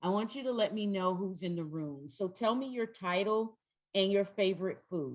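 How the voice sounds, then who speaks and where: Keeping a moderate pace, a woman talks with a Southern US accent. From North Carolina, US South. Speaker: trainer. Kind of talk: training workshop. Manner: loud.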